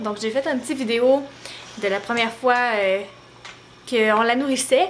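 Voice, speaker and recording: A woman speaks with a high pitch and ordinary pitch variation at a moderate pace. There is noticeable background noise. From Quebec, Beauce region. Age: 20s. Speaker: mom vlogger. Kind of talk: casual vlog talk to camera. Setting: at home, handheld camera. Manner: hesitant, many fillers.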